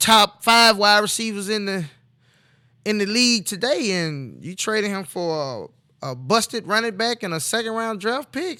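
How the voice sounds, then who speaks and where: On a very clean recording with a silent background, a man raises and projects his high-pitched voice, which has a bright, sharp tone. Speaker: sports talk show host. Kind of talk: casual sports commentary. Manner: loud; animated.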